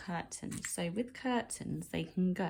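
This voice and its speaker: Lively intonation marks this woman's fairly low, somewhat breathy voice. She speaks at a very slow pace. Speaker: art teacher. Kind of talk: tutorial.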